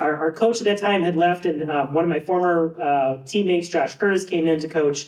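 A man with an American accent speaks at a moderate pace in a high voice, his pitch varying in an ordinary way. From Buffalo, US. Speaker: physics professor, former diver. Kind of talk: induction speech.

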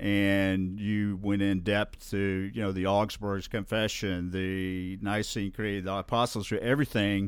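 This man speaks with a Southern US accent. His fairly low voice stays monotone and flat. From Alabama (Birmingham area). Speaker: guest sharing life story. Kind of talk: interview testimony. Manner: halting, many fillers.

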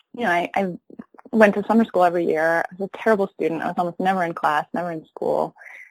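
A woman with an American accent, a plain, everyday voice at medium pitch, ordinary pitch variation and a fairly quick pace, dry and close with no echo. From upstate New York (Rochester, Ithaca). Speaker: teacher. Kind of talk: interview conversation.

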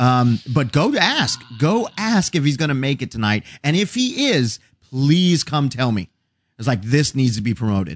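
A plain, everyday voice from a man, medium in pitch, with lively intonation at a moderate pace against a quiet background. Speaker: podcast host and actor. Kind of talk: casual chat.

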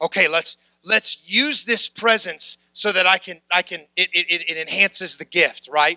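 A man's raised, projected voice, bright and sharp in tone, with a dry, close sound and no echo. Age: 30s. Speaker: preacher. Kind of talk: sermon.

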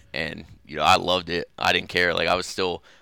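The man's pitch is very deep and low, with a bright, sharp tone. The recording is very clean, with a silent background. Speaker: college football player. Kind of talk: interview. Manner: hesitant, many fillers.

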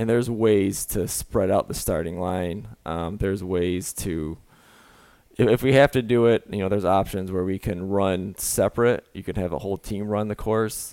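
Here a man speaks in an American accent with a fairly low pitch. His tone is dark and mellow, with ordinary pitch variation. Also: moderate pace, very clean recording, silent background. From Michigan. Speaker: college track and field coach. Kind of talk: casual interview.

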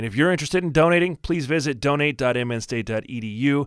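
In a very clean recording with a silent background, a man with an unremarkable speaking voice and fairly high pitch talks at a fairly quick pace with ordinary pitch variation. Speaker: college sports podcast host. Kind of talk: scripted podcast intro and outro.

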